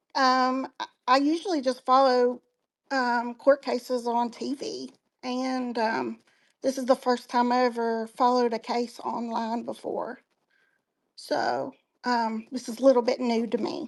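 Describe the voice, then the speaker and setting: Speaking with an Appalachian accent, a woman uses a high pitch and monotone, flat intonation at a fairly slow pace against a quiet background. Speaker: online community member. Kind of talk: casual chat. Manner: halting.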